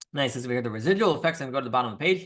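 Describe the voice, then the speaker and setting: A man's bright, sharp voice swings very widely in pitch over a quiet background. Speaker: rabbi teaching a weekly class. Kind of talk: religious class lecture. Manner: fast.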